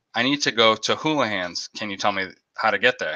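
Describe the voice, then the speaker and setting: A man's bright, sharp voice with an American accent and fairly low pitch, in a dry, close sound with no echo. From Boston area. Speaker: aquarium YouTuber. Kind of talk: live stream chat, storytelling. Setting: live stream. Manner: animated.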